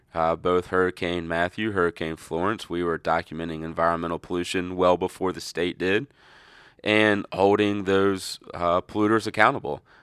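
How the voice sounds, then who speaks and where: A man speaks at a moderate pace in a very deep, low voice with fairly even intonation. The recording is very clean and dry, close-miked with no echo and a silent background. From North Carolina. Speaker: riverkeeper, environmental advocate. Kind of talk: interview.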